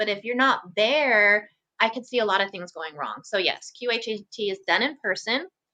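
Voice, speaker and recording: Her tone bright, sharp and calm, a woman speaks at a fairly high pitch with ordinary pitch variation. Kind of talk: interview.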